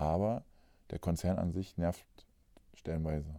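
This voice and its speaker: A man's voice has a dark, mellow tone and fairly even intonation. The recording is very clean, with a silent background. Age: 40s. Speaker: podcast host, nurse. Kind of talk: casual chat.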